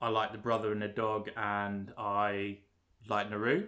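The recording is very clean, with a silent background. A man speaks with a bright, sharp tone. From London. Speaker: podcast co-host, film reviewer. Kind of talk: casual chat.

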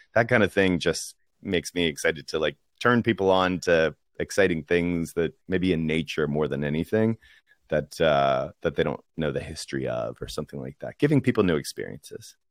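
A man with an American accent talks at a very deep, low pitch with vocal fry and lively intonation. The sound is dry and close, with no echo. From US, Washington DC. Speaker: podcast production director. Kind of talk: casual interview.

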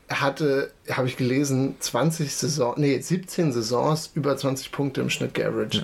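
This man's voice has vocal fry. His intonation stays fairly even. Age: 20s. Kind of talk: casual chat. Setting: home basement, across a table.

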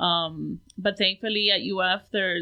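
A medium-pitched woman's voice with an American accent. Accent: Miami Cuban American English. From Hialeah, South Florida. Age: 40s. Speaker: painter. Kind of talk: casual interview chat.

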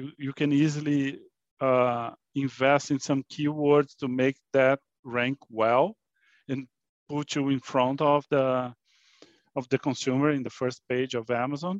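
A fairly high-pitched man with a Portuguese accent, speaking at a fairly slow pace in a monotone, flat intonation, dry and close with no echo against a quiet background. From Brazil. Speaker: fintech company CEO. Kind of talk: interview. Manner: halting, repeats words.

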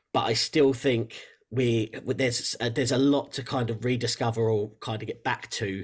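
A man speaks with an English accent at medium pitch. His intonation is monotone and flat, and somewhat breathy. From England. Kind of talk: interview conversation.

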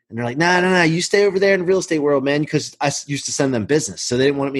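Over a quiet background, a man with a fairly high pitch speaks with lively intonation. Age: 40s. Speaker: mortgage business leader. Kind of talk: casual interview.

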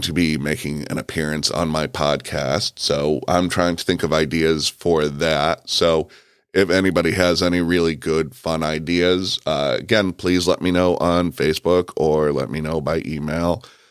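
The delivery is fairly slow with fairly even intonation and hardly any pauses. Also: man, very deep, low pitch for a man. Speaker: podcast host. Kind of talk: casual solo monologue. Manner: conversational, uses fillers like um and uh.

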